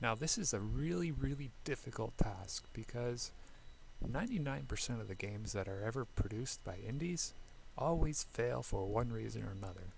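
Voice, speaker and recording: At a moderate speed, the speaker talks in a soft-spoken way. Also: man. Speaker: indie game developer. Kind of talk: casual talk to camera.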